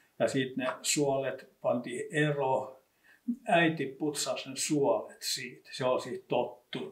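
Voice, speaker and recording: The speaker is a man with a Kymenlaakso accent. His pace is very slow. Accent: Iitti dialect of Finnish. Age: old. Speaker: local history expert. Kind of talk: casual reminiscing conversation.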